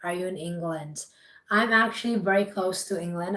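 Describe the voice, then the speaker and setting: This woman's voice has a bright, sharp tone at a medium pitch. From India. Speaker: image and confidence coach, livestreamer. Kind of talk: live stream chat with viewers. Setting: live stream.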